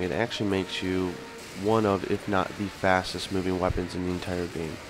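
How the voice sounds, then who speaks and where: A man speaks with music playing behind him. His voice sits very deep and low. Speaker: video game commentator. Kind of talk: gameplay tutorial commentary. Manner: casual.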